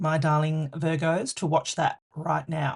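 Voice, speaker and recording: The woman's voice is somewhat breathy. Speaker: tarot reader. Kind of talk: tarot reading to camera. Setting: on camera.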